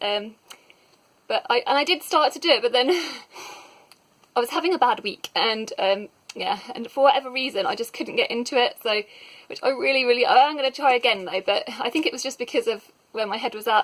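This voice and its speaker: Mumbling at a fairly quick pace, a woman with a high pitch and lively intonation leaves long, frequent pauses. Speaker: book reviewer. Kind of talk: casual talk to camera. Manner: mumbly.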